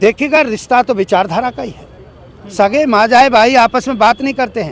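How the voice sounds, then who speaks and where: Against crowd noise in the background, a man with an extremely high pitch talks at a moderate pace, with ordinary pitch variation, big swings in loudness, and a dry, close sound with no echo. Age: 70s. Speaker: party worker being interviewed. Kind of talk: interview. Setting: room with seated audience.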